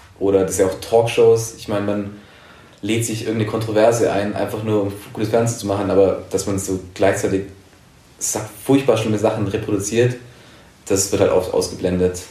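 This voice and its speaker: A man with a fairly low pitch talks at a fairly quick pace in a monotone, flat intonation, with long, frequent pauses and audible room echo. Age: 20s. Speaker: journalist. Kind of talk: interview. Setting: in-person recording.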